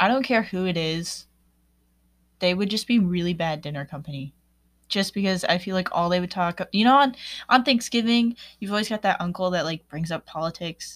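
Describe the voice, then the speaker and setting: In a plain, everyday voice, a woman talks at a fairly quick pace and medium pitch on a very clean recording with a silent background. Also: ordinary pitch variation. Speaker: podcast host. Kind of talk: casual monologue.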